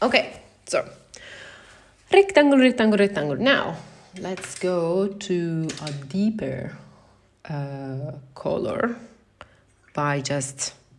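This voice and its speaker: Speaking very slowly with an Italian accent, a woman with a fairly low pitch uses very wide pitch swings. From Italy. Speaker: watercolor artist. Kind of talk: live painting tutorial. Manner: halting, thinking aloud.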